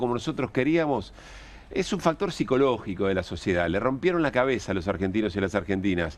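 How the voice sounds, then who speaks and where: Against a quiet background, a man talks at a fairly quick pace in a normal speaking voice. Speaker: radio and TV show host. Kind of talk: political talk show.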